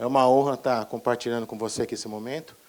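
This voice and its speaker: Here a man is speaking. His pace is very fast. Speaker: pharmacist trainer. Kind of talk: lecture.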